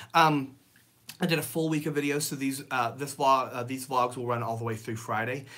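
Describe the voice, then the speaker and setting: A man's medium-pitched, bright, sharp voice in a Southern US accent at a fairly quick pace. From Tennessee (Nashville). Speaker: Disney vlogger. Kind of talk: live stream chat. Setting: home office, livestream. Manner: casual, hesitant with many fillers.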